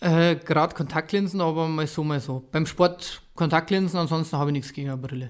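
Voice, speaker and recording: A man talks at a fairly quick pace in a fairly high pitch, an unremarkable speaking voice on a very clean recording with a silent background. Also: hardly any pauses. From Bavaria, Ingolstadt area. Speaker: former professional footballer, youth football coach. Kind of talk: casual interview.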